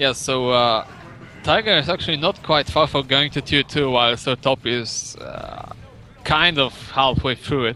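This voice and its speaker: A man's fairly high voice with a non-native accent, against noticeable background noise. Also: ordinary pitch variation, moderate pace. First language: not English. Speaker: esports commentator. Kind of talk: live commentary. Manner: halting.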